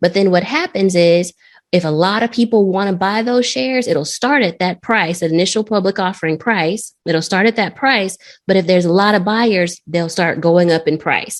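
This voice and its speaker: A woman talks at a fairly quick pace with ordinary pitch variation. It is an unremarkable speaking voice. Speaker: trading educator. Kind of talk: lecture.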